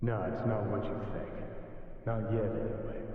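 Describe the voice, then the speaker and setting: Delivered at a moderate pace, a put-on character voice rings out with strong echo. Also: man, medium pitch for a man. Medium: video game. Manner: sardonic, brash.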